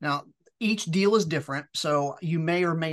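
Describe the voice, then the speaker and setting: A man speaks against a quiet background. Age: 40s. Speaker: business acquirer. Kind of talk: interview.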